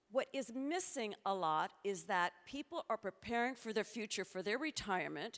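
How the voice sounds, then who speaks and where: With lively intonation and an unremarkable speaking voice, a woman speaks at a moderate pace in a dry, close sound with no echo. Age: 60s. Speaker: futurist speaker. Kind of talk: conference talk.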